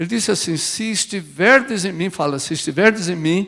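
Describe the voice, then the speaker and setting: A high-pitched man talks at a fairly slow pace with ordinary pitch variation. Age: 70s. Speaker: pastor. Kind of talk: sermon. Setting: church.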